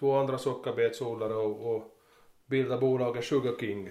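A man's flat, monotone voice at medium pitch with an Ostrobothnian accent. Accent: Finland-Swedish, Ostrobothnian dialect. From Ostrobothnia, Finland (Närpes). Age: 40s. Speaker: farmer. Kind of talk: interview. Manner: halting, many repetitions.

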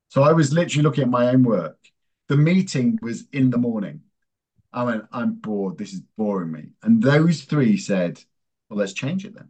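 With an English accent, this voice moves at a moderate pace through very wide pitch swings and big swings in loudness. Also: man, medium pitch for a man. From England. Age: 50s. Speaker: strategy executive in advertising. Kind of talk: interview.

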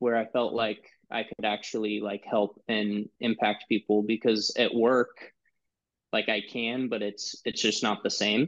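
A man with a plain, everyday voice. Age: 20s. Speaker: former youth group volunteer. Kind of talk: casual chat. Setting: video call.

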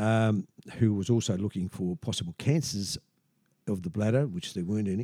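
With an Australian accent, a man speaks in a fairly low pitch and a dark, mellow tone. The sound is dry and close, with no echo. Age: 70s. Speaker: patient with urinary sphincter implant. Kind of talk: casual interview telling his story. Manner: halting, many fillers.

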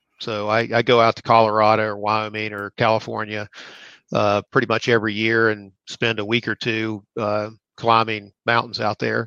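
A man with an American accent, fairly low-pitched and bright and sharp in tone, in a monotone, flat delivery at a moderate pace, on a dry, close recording with no echo and a quiet background. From West Virginia. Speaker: pension fund executive. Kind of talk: interview. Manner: halting.

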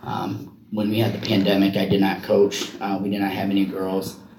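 Moderately paced speech with fairly even intonation, audible room echo and noticeable background noise. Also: man. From Iowa. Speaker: wrestling coach and special education paraprofessional. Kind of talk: interview. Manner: halting.

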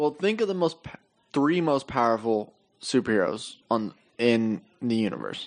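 With an unremarkable speaking voice, a man at a medium pitch talks at a moderate pace with lively intonation. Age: 20s. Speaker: podcast co-host. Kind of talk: casual chat.

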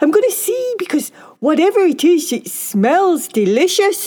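Putting on a character voice, a woman speaks at an extremely high pitch with a dark, mellow tone, big pitch swings and a fairly slow pace.

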